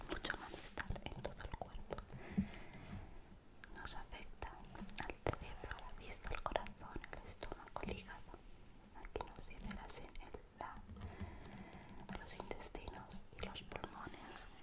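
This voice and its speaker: A fairly slow pace with long, frequent pauses. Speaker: ASMR creator. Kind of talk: ASMR whisper video.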